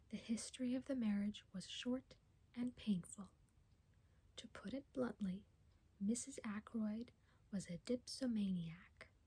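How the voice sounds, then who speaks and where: A soft-spoken voice moves at a fairly slow pace, broken by long, frequent pauses. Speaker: ASMR reader. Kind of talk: soft-spoken ASMR book reading, audiobook-style narration. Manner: soft-spoken, slow, intimate.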